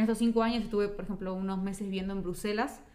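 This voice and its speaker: A woman at a very fast pace, with audible room echo. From Uruguay. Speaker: migrant interviewee. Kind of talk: casual chat.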